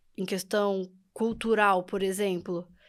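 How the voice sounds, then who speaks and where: A woman at a fairly slow pace in a very clean recording with a silent background. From Brazil. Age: young. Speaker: podcast guest, immigrant. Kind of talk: interview.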